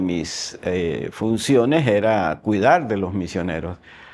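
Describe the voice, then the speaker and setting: Very wide pitch swings from a man at a fairly slow pace, against noticeable background noise. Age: 60s. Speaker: agronomist and church missions coordinator. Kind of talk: testimony interview.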